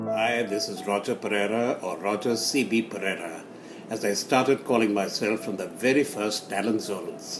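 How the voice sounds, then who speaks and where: A man speaks at a moderate pace and a medium pitch, with ordinary pitch variation and music in the background. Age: 80s+. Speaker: community elder reminiscing. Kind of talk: recorded reminiscence.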